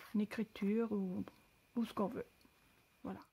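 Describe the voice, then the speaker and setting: A woman with a non-native accent speaks at medium pitch with fairly even intonation. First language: not French (speaking French). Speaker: crafter. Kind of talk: tutorial. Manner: halting.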